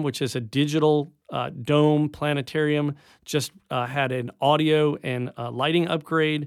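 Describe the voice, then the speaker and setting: In a plain, everyday voice, a man with an American accent and a fairly high pitch speaks at a moderate pace with fairly even intonation on a very clean recording with a silent background. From upstate New York. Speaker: science center director. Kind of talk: radio interview. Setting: radio studio.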